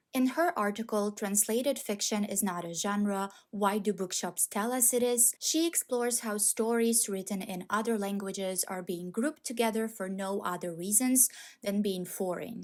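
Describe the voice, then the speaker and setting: A woman with a non-native accent speaks at a moderate pace and a fairly high pitch, with ordinary pitch variation, in a very clean recording with a silent background. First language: not English. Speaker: book video creator. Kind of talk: video essay. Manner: measured, scripted.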